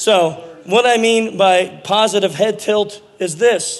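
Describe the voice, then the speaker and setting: There is noticeable background noise as a man talks in an animated tone. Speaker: conference speaker. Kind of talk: lecture.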